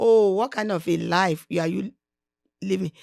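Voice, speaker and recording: At a fairly slow pace, a woman with a Nigerian accent speaks at a medium pitch with ordinary pitch variation, the sound dry and close with no echo on a very clean recording with a silent background. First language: Nigerian language (not English). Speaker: podcast guest, host's mother. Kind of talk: casual interview, motivational advice.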